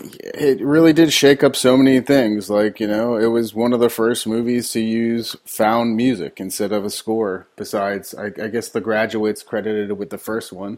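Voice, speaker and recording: A man speaks in a normal speaking voice at medium pitch and a moderate pace. He uses fairly even intonation and hardly any pauses. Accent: American. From Elizabeth, New Jersey. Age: 30s. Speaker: filmmaker and musician. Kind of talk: casual interview.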